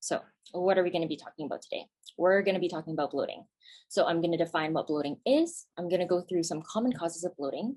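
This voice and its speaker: A woman with a Canadian accent, fairly low in pitch, talking at a very fast pace with ordinary pitch variation. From Canada. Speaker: naturopathic physician. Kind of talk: webinar presentation. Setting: video call webinar.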